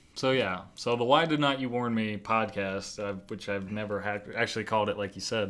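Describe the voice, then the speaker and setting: At a fairly quick pace, a man talks with fairly low pitch and fairly even intonation. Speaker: podcast guest, co-host of his own podcast. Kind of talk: casual chat. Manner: fast, sometimes trips over words; talkative, rambling on mic.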